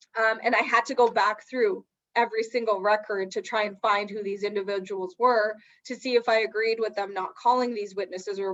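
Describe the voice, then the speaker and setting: A woman with a medium-pitched voice speaks at a fairly quick pace with fairly even intonation. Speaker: lawyer. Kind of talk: webinar presentation on trial advocacy. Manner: fast.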